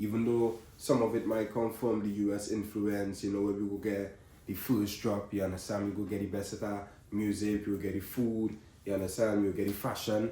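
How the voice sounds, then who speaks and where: Over noticeable background noise and audible room echo, a man talks at a fairly quick pace in a monotone, flat intonation. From Trinidad and Tobago. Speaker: content creator. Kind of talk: vlog monologue to camera. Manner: casual, filler-heavy.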